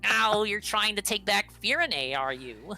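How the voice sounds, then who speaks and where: A put-on character voice, fairly high-pitched, at a fairly slow pace with very wide pitch swings over clear music in the background. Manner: hammy, scheming.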